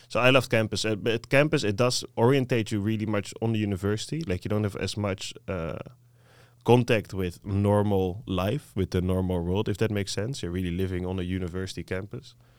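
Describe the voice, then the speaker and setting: A man speaks with a Dutch accent at a fairly quick pace, his voice fairly low with ordinary pitch variation. The recording is very clean with a silent background. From southern Netherlands, 's-Hertogenbosch. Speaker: master's student. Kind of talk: casual interview.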